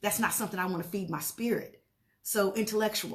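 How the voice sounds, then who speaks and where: Somewhat breathy, a woman talks at a fairly quick pace and medium pitch with fairly even intonation. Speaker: motivational speaker. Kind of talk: live stream talk. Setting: Facebook live video. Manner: fast.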